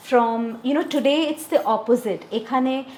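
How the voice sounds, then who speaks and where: A woman speaks at a fairly slow pace with lively intonation. Noticeable background noise runs underneath. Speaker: podcast host. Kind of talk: casual interview talk.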